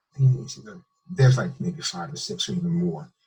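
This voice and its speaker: A man's somewhat breathy voice. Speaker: medical doctor. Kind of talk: interview. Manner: halting.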